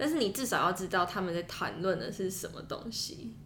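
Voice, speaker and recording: Over noticeable background noise and audible room echo, a woman speaks at medium pitch and a fairly quick pace with ordinary pitch variation. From Taiwan. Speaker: international student, podcaster. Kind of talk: casual chat.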